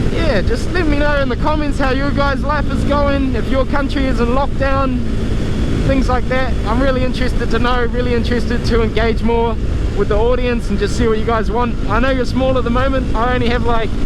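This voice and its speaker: This man talks at a fairly quick pace with very even loudness. There is audible room echo and noticeable background noise. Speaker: motovlogger. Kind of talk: casual vlog talk while riding. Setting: riding a motorbike outdoors. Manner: casual, hesitant fillers.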